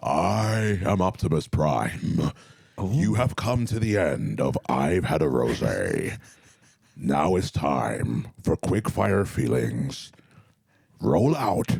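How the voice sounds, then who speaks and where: In a raspy, put-on character voice, a man speaks at a very slow pace with a very deep, low pitch and very wide pitch swings. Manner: commanding, heroic.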